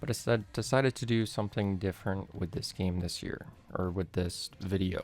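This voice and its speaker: Over music in the background, a man with a fairly low pitch speaks at a moderate pace. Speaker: gaming YouTuber. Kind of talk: gameplay review voiceover. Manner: flat, low expression.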